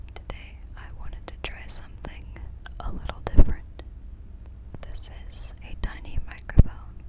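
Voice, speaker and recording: Whispering at a moderate pace with long, frequent pauses, the voice comes through noticeable background noise. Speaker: ASMR artist. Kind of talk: ASMR whispering. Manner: whispered.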